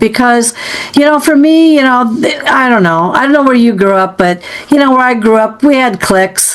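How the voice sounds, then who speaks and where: A high-pitched woman talks at a moderate pace with lively intonation. Her loudness stays very even, and there is noticeable background noise. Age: 60s. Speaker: podcast host interviewing a psychic. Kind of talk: casual interview chat. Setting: podcast recording.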